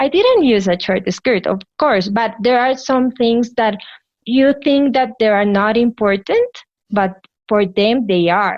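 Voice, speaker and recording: A woman's fairly high voice with a Colombian accent, ordinary pitch variation, very even loudness and a fairly slow pace. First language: Spanish. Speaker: physician. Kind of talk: interview answer.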